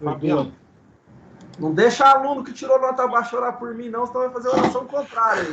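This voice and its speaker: Through noticeable background noise, a man with an extremely high pitch talks at a fairly quick pace with lively intonation and big swings in loudness. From Brazil, São Paulo city. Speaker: guest speaker, ministry teacher. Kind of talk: casual chat. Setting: video call. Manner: halting.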